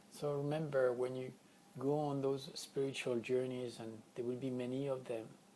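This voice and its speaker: A man talks at a medium pitch and a moderate pace with monotone, flat intonation. Audible room echo and noticeable background noise come through. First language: not English. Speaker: spiritual healing teacher. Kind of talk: spiritual teaching session. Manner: unscripted, occasional word searching.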